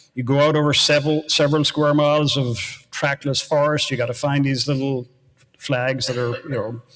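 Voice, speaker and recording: Talking at a fairly quick pace with an Irish accent, a man with a fairly high pitch keeps a monotone, flat intonation. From Ireland, near Baltimore, County Cork. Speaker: university research executive. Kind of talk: panel discussion. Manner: halting, repeats words.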